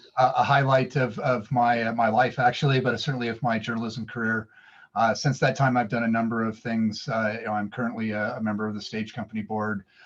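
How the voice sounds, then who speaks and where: A medium-pitched man in an American accent, very fast, with monotone, flat intonation. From Sacramento, California. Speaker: board member and former theater critic. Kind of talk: meeting introduction. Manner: halting, many fillers.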